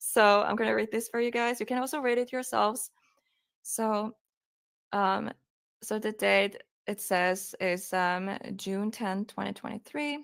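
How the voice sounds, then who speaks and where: A woman with a Finnish accent speaks in a fairly high pitch at a fairly slow pace. Her long, frequent pauses stand out in a very clean recording with a silent background. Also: ordinary pitch variation. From Finland. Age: 20s. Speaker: true crime streamer. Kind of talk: live stream commentary, reading a police report aloud. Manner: halting.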